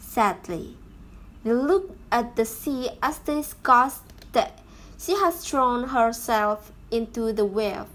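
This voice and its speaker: A woman speaks with a high pitch and lively intonation. Her pace is very slow. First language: not English. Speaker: YouTuber reading stories. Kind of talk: reading aloud. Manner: halting.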